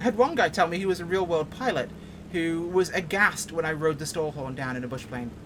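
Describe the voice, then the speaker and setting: A woman with an American accent talks at a fairly quick pace and fairly low pitch, with lively intonation, big swings in loudness, and noticeable background noise. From England, Yorkshire. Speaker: flight sim streamer. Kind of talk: casual gameplay commentary. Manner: animated.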